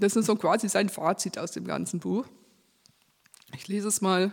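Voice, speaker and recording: Speaking at a fairly slow pace, a woman uses a medium pitch with vocal fry. Her intonation stays fairly even. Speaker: preacher. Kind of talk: sermon. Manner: reading from a script.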